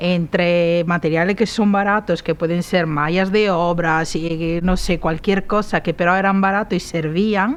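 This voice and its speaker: A woman talks at a moderate pace with a fairly low pitch and a monotone, flat intonation. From Italy, Padua. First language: Italian (speaking Spanish). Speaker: set designer. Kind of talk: interview. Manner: halting.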